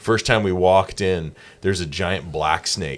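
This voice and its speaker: A man's very deep, low voice with vocal fry and ordinary pitch variation, in an American accent, on a very clean recording with a silent background. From South Carolina. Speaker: church podcast host. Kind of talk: casual interview. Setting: podcast studio.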